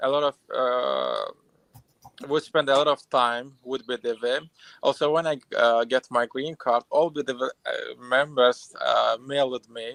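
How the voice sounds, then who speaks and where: Recorded with a dry, close sound and no echo, a man with an Azerbaijani accent speaks at a fairly slow pace. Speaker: immigrant, former client. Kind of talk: live stream interview testimony. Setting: live stream. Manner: halting, many fillers.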